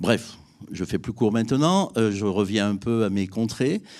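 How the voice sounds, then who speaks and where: A man speaks at a fairly slow pace with a fairly low pitch. His tone is dark and mellow. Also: very clean recording, silent background. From France, Drôme (Valence area). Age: 60s. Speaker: business owner, civil engineering. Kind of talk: testimony.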